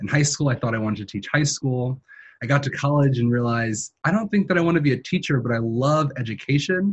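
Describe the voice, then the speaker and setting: A man with an American accent, somewhat breathy, at a very fast pace. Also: medium pitch for a man, lively intonation. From New York City, Queens. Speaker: graduate student. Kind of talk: interview.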